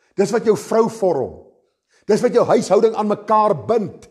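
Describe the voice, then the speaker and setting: Against a quiet background, a man speaks at a high pitch with a dark, mellow tone. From South Africa. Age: 50s. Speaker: pastor. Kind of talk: sermon. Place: church.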